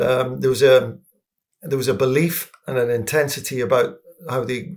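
A somewhat breathy, medium-pitched man's voice with an English accent. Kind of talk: casual football discussion.

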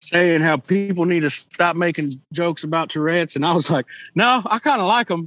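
The recording is very clean with a silent background. A man with a Southern Texas accent speaks in a high pitch with ordinary pitch variation. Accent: Southern Texan. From Texas Gulf Coast. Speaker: musician. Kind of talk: casual interview chat.

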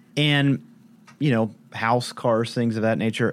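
Fairly even intonation marks this man's fairly low-pitched voice. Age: 40s. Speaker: startup founder and CEO. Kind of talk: interview. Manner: hesitant fillers.

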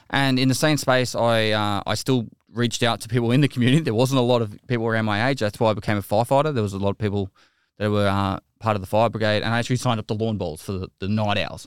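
Speaking very fast with an Australian accent, a man at medium pitch keeps a fairly even intonation on a very clean recording with a silent background and a dry, close sound with no echo. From Australia, Geelong, Victoria. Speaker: video game streamer, army veteran. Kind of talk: casual interview.

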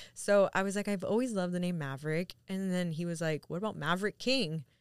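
A woman with an ordinary speaking voice talks at a fairly quick pace in a medium pitch with ordinary pitch variation. The very clean recording has a silent background and a dry, close sound with no echo. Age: 30s. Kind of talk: casual chat.

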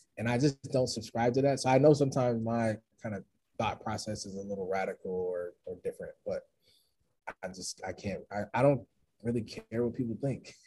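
A man's somewhat breathy, medium-pitched voice at a fairly quick pace, with ordinary pitch variation and big swings in loudness. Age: 30s. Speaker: motivational speaker. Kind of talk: casual chat.

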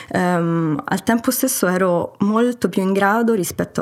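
Ordinary pitch variation in an ordinary speaking voice, at a moderate pace. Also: woman. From Italy and Germany. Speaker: guest, remote-working traveller. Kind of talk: interview, personal story.

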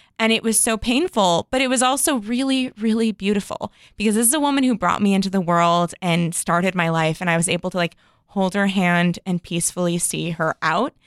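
Speaking in an unremarkable speaking voice with an American accent, a woman at a medium pitch shows lively intonation and very even loudness, in a dry, close sound with no echo and a very clean recording with a silent background. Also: fairly quick pace. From Chicago, US Midwest. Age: 30s. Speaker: podcast host. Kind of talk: casual chat.

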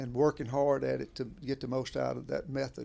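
In a Southern US accent, a man talks at a fairly quick pace on a very clean recording with a silent background. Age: 70s. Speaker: veteran bowhunter. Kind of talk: casual chat. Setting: at home.

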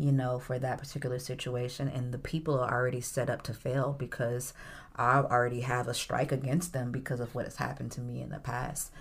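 A woman with a very deep, low pitch talks fairly quickly in a somewhat breathy voice with monotone, flat intonation. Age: 40s. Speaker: worship leader and adjunct music professor. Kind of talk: casual chat.

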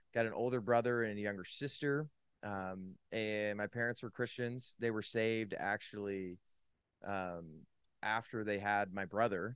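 With a Californian accent, a man talks at a fairly slow pace. His voice is fairly low, and his intonation stays fairly even. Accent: Californian American. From Northern California. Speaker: sports and faith commentator. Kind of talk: testimony.

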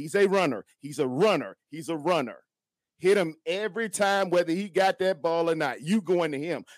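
A man with a high pitch talks at a fairly quick pace in an animated tone. The sound is dry and close, with no echo. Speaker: fan caller. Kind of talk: casual sports fan talk. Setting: video call. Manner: animated, preacher-like.

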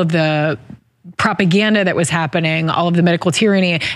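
The speaker is a woman at medium pitch. She has a plain, everyday voice. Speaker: interviewer. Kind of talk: interview.

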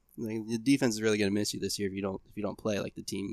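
A very clean recording with a silent background, an American accent and fairly even intonation. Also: man. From Ohio, US. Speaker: podcast host, bow technician. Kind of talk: casual chat.

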